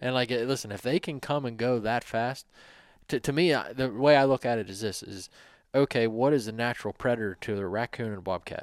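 An ordinary speaking voice belongs to a man talking at a fairly quick pace, medium in pitch with ordinary pitch variation. The sound is dry and close with no echo, on a very clean recording with a silent background. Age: 40s. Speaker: co-host, hunter. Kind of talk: casual chat.

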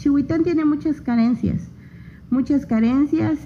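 A woman's intonation is lively, and noticeable background noise sits behind her voice. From Oaxaca, Mexico (Isthmus of Tehuantepec). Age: 30s. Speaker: local political candidate, agronomist. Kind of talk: radio interview. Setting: radio studio.

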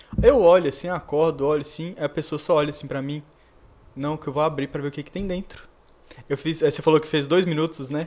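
Fairly high male voice, quick-paced and monotone with flat intonation, loudness swinging widely. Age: 30s. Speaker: psychiatrist. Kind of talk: casual chat.

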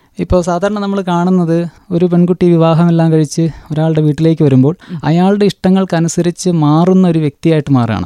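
This man's voice is high in pitch with a dark, mellow tone and fairly even intonation, captured with a dry, close sound and no echo. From Kerala, Wayanad. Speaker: novelist and teacher. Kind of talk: interview.

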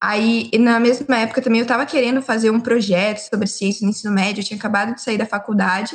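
Her pitch is fairly high, with ordinary variation, and the woman talks at a very fast pace. She sounds somewhat breathy. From São Paulo state, Brazil (Limeira). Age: 19. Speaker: geology student. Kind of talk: casual chat.

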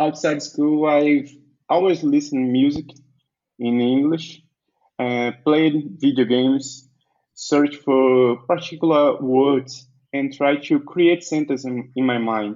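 A man speaks in a Portuguese accent with a fairly high pitch. His pace is fairly slow. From Brazil, Bahia. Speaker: entrepreneur and web developer. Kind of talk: interview. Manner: halting.

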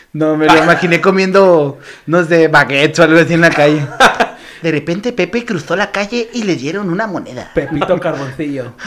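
An animated man's voice, high-pitched with ordinary pitch variation and a fairly quick pace, over noticeable background noise. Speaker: comedian. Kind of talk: casual chat.

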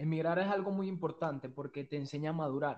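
A man speaks in an unremarkable speaking voice, fairly high in pitch, with fairly even intonation. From Venezuela. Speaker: small business owner. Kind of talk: casual interview.

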